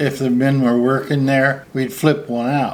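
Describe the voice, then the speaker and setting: This man's pitch is medium. He speaks with a Midwestern American accent. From US Midwest, Ohio. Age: 70s. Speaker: minister. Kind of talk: casual interview.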